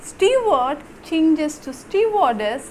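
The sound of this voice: A woman speaks at a fairly slow pace in a slightly mellow tone, with faint background noise.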